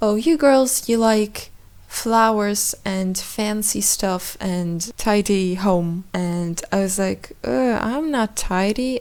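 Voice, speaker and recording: Woman at a very slow pace with a non-native accent, medium pitch and ordinary pitch variation. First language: not English. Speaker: podcaster. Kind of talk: casual monologue. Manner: halting.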